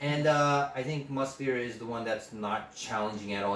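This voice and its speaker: A man speaks at a moderate pace and a medium pitch, with ordinary pitch variation. Noticeable background noise is present. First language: not English. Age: 20s. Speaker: podcast host, fragrance hobbyist. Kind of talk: casual chat.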